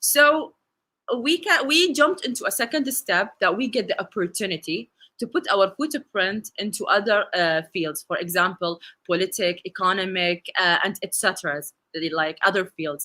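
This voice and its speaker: A woman's medium-pitched voice with an Arabic accent, bright and sharp in tone, with very wide pitch swings. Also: moderate pace, dry, close sound with no echo. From UAE. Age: 20s. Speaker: conference speaker, bank technology officer. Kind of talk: conference talk. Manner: halting, many fillers.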